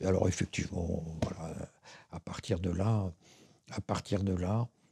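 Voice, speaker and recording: A man speaks at a very slow pace in a dark, mellow tone. The recording is very clean with a silent background and dry, close sound with no echo. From Paris, France. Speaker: writer and philosopher. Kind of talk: interview answer.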